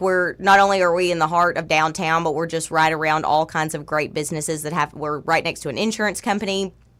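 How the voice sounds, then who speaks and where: A woman speaks with a Southern US accent at a fairly low pitch, with ordinary pitch variation, in a very clean recording with a silent background. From South Arkansas, El Dorado. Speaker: title company owner. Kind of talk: radio interview. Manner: loud; animated.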